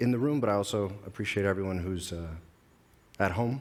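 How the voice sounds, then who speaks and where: A man's fairly low voice at a fairly quick pace, with ordinary pitch variation and audible room echo. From United States. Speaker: security advisor. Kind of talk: conference talk. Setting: stage with audience. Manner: halting.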